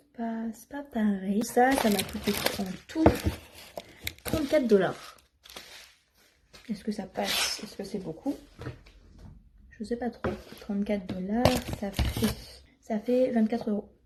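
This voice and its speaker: At a very slow pace with long, frequent pauses, a woman speaks at a fairly high pitch with ordinary pitch variation and big swings in loudness over noticeable background noise. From northern France. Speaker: vlogger. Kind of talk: casual vlog. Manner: hesitant, many fillers.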